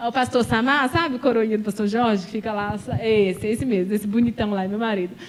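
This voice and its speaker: A woman talks very fast in a fairly high voice, animated in tone. Noticeable background noise runs underneath. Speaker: pastor. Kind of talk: sermon.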